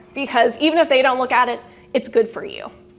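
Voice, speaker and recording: Lively intonation and a very fast pace carry over music in the background. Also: woman. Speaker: lawyer giving CLE presentation. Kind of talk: lecture.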